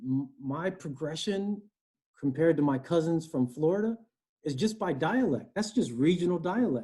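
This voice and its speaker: A man's high-pitched voice with a dark, mellow tone, a moderate pace and a slight East Coast accent. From US Northeast, Connecticut. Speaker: human resources director. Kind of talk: interview. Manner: conversational.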